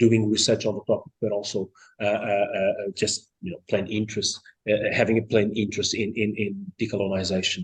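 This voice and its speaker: In a Portuguese accent, a man talks at a moderate pace with a fairly low pitch, a somewhat breathy voice and monotone, flat intonation. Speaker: seminar chair introducing speaker. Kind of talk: formal introduction. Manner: halting, many fillers.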